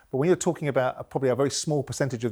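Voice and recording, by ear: Pitched at medium for a man, this male voice has a slightly mellow tone and ordinary pitch variation.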